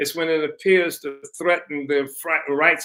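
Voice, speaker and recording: Bright, sharp tone in a man's fairly high voice. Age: 80s+. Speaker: political party founder and activist. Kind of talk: interview. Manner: halting, many fillers and restarts.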